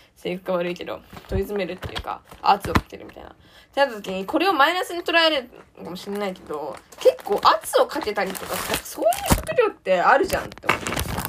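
A woman's high voice at a very fast pace, with very wide pitch swings, big swings in loudness, and noticeable background noise. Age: 20s. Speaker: podcaster, university student. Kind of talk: solo casual monologue.

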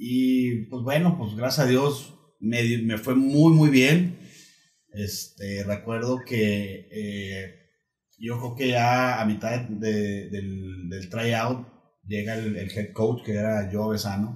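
At a very slow pace, a man with a medium-pitched, somewhat breathy voice speaks with ordinary pitch variation and audible room echo. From Torreón, Coahuila, northern Mexico. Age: 40s. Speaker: former American football player. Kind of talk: casual interview chat. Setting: host's home.

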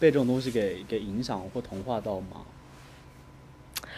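Noticeable background noise runs under this recording. A man speaks at medium pitch with ordinary pitch variation. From Guizhou, Guiyang. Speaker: podcast co-host. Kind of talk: casual chat. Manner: animated, laughing often.

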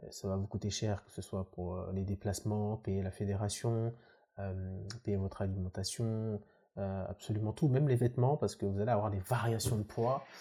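In a very clean recording with a silent background, a man speaks fairly quickly in a fairly low, somewhat breathy voice with a dark, mellow tone and fairly even intonation. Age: 20s. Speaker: professional bodybuilder and student. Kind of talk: casual chat.

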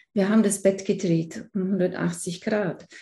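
Against a quiet background, a woman of medium pitch speaks in a somewhat breathy voice with fairly even intonation. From Allgäu, Bavaria, southern Germany. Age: 50s. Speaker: feng shui consultant. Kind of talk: casual interview chat.

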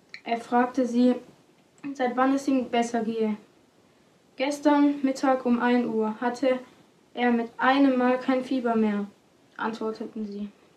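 A woman with a high voice speaks fairly slowly in a flat monotone, leaving long, frequent pauses. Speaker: podcast announcer and scripture reader. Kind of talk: reading aloud.

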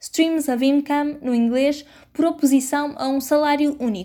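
A woman in a European Portuguese accent speaks at a high pitch with fairly even intonation in a very clean recording with a silent background. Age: 20s. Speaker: journalist and podcast host. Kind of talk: scripted narration.

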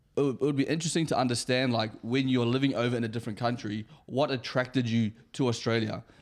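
A man's fairly quick delivery at medium pitch, with fairly even intonation. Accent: New Zealand. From New Zealand. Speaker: podcast co-host. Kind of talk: casual chat.

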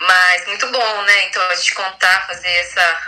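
Noticeable background noise sits behind a woman speaking at a fairly slow pace. Her medium pitch holds to a monotone, flat intonation. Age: 20s. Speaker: club president. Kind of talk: casual chat.

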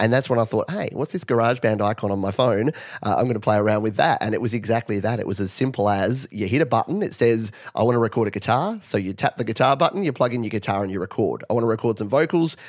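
Talking with an Australian accent, a man speaks at a very fast pace. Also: medium pitch for a man, ordinary pitch variation. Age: 40s. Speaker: music producer and YouTuber. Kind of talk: interview.

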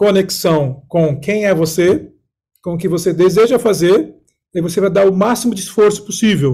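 This man's voice is high-pitched, with a dark, mellow tone. He speaks at a fairly slow pace with ordinary pitch variation. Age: 40s. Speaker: executive mentor and coach. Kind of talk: casual chat.

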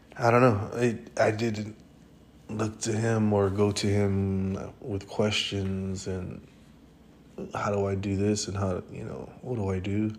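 Very slow, monotone, flat delivery with audible room echo. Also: man, fairly low pitch for a man. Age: 30s. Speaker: podcast host. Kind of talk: casual monologue. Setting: hospital room. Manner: casual and rambling.

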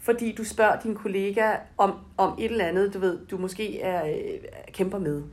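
Fairly even intonation at a fairly slow pace. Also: woman. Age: 40s. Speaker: brand manager. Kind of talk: interview. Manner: hesitant, many fillers.

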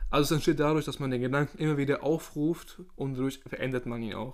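A man talks at a fairly quick pace with medium pitch and fairly even intonation. He has a plain, everyday voice. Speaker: podcast host. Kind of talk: casual chat.

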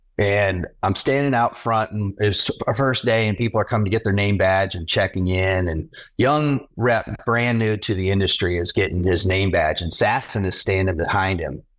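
In an American accent and an unremarkable speaking voice, a man speaks at a moderate pace with a fairly low pitch, ordinary pitch variation and hardly any pauses. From US South (Jacksonville, Florida). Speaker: podcast co-host. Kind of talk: podcast interview.

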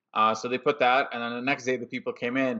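A man is speaking. His pace is very fast. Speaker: podcast host. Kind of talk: casual chat.

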